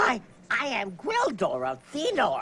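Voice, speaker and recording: Fairly slow and high in pitch, a put-on character voice comes across as a female-sounding voice. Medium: comedy sketch.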